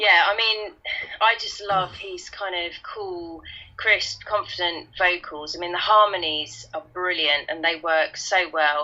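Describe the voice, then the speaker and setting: A woman with a Kent accent speaks at a fairly slow pace and medium pitch, her loudness swinging widely and her pitch varying in an ordinary way, over noticeable background noise. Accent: Kentish London. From Kent / London, England. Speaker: guest co-host. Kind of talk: casual chat.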